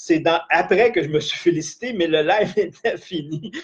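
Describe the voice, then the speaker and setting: Pitch swings very widely in this man's voice. He speaks at a fairly slow pace. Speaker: life coach / trainer. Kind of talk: live-streamed training session. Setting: live stream.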